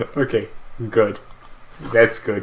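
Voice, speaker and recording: A man speaks softly. Noticeable background noise sits behind him. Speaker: video game streamer. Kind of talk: casual gameplay commentary. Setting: live stream. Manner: soft-spoken; halting.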